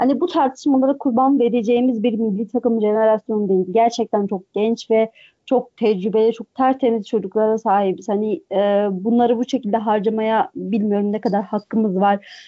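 A woman with an unremarkable speaking voice, fairly high in pitch, at a moderate pace with fairly even intonation and hardly any pauses. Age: 20s. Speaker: football commentator. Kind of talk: casual chat. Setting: podcast recording.

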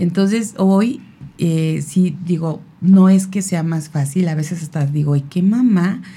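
Audible room echo hangs around this woman's voice. She talks very slowly, with ordinary pitch variation. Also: fairly low pitch for a woman. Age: 50s. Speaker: radio magazine creator and mother. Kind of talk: casual chat.

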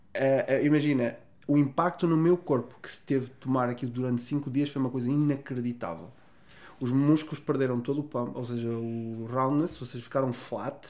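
A man with an ordinary speaking voice, medium pitch and fairly even intonation, moderate in pace, with big swings in loudness. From northern Portugal, Vila Real. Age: 30s. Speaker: pro bodybuilder and online fitness coach. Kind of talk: casual interview chat.

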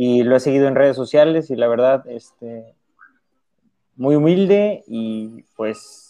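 This man's dark, mellow tone comes through over a quiet background. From Mexico, Veracruz. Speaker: teacher and trail runner. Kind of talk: casual chat.

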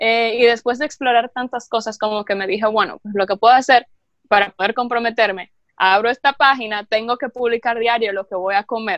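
The speech comes at a fairly quick pace with fairly even intonation and a dry, close sound with no echo. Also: woman. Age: 20s. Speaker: health food content creator. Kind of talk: casual interview.

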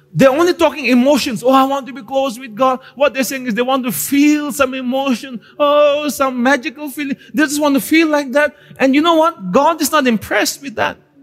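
Against noticeable background noise, a man with an extremely high pitch talks at a fairly quick pace with ordinary pitch variation and hardly any pauses. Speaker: pastor. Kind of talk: Pentecostal-style church sermon, teaching and exhorting a live congregation. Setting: church service with live congregation. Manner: direct, conversational asides to the audience; emphatic preaching cadence with repeated phrases and call-and-response prompts.

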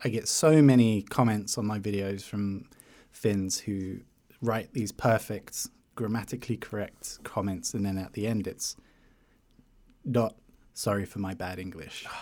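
Speaking with a British accent, a man has a dark, mellow tone and a fairly low pitch with ordinary variation. He goes at a fairly slow pace in a very clean recording with a silent background. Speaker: YouTuber. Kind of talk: casual interview chat.

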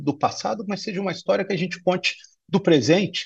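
A man's high-pitched voice comes through against a quiet background. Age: 50s. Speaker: corporate executive. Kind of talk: interview. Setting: remote video call. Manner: halting, many fillers.

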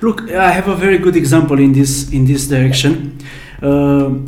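A man with a Romanian accent at a fairly slow pace, fairly even intonation, audible room echo and noticeable background noise. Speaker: podcast host. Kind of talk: interview.

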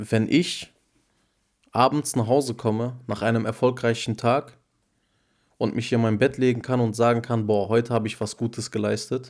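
A man speaks at medium pitch and a moderate pace, with long, frequent pauses and fairly even intonation. The recording is very clean, with a silent background. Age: 20s. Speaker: podcast co-host. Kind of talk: casual chat.

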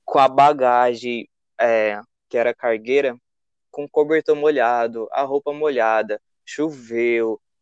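In a dry, close sound with no echo, a man speaks very slowly at a medium pitch with fairly even intonation. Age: 20s. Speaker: traveler. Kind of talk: casual interview.

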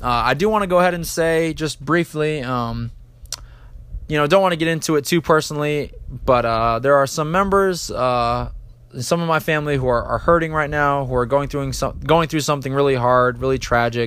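A man with a plain, everyday voice speaks at a fairly high pitch and a fairly quick pace. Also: ordinary pitch variation. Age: 20s. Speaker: sports podcast host. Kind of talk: solo sports commentary.

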